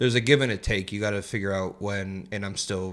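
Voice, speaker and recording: With an American accent, a man with a fairly low voice talks at a fairly quick pace using fairly even intonation. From US West Coast, San Jose, California. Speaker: construction project manager. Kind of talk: casual chat.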